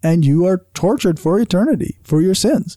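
A very clean recording with a silent background, in a Canadian accent. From Canada. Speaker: podcast co-host. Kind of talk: casual chat.

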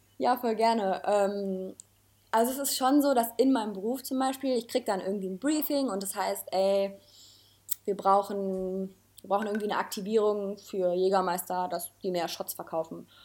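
This is a plain, everyday voice. A woman speaks at medium pitch and a moderate pace with ordinary pitch variation. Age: 20s. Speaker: junior art director. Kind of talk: casual chat.

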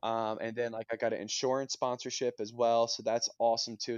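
At a fairly quick pace, a man speaks at medium pitch with a Mid-Atlantic American accent. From Pennsylvania, US. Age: 20s. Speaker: Olympic swimmer. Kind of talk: casual interview. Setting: remote call.

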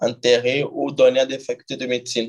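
Monotone, flat intonation at a moderate pace. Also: man. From Togo, Lomé. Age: 20s. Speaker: doctor. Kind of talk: interview conversation.

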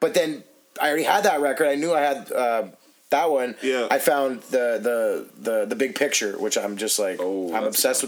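A man speaks with an unremarkable speaking voice. His pitch is medium and his pace moderate. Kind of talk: casual chat. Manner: profanity-heavy, laughing.

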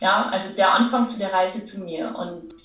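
A woman speaks with audible room echo. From Lower Bavaria, Germany. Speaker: entrepreneur and business coach. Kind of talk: casual interview.

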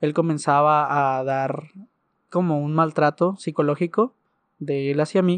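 This man has a normal speaking voice with a fairly high pitch, fairly even intonation and a fairly slow pace, heard with a dry, close sound with no echo over a quiet background. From Mexico, Ciudad Juárez, Chihuahua. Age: 20s. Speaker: churchgoer sharing a faith story. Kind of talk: testimony.

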